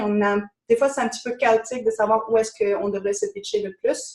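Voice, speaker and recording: Her pitch fairly high, the woman moves through her words at a fairly quick pace. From France. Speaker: business coach. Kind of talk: webinar presentation.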